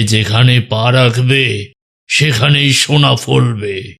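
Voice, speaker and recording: Raspy and solemn, a cartoonish character voice crawls along at a very slow pace. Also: man. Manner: solemn, commanding, prophetic.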